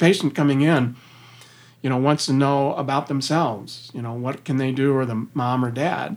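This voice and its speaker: On a very clean recording with a silent background, a man talks in an ordinary speaking voice, fairly high in pitch, with ordinary pitch variation. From US Midwest (Missouri). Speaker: company CEO. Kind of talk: interview.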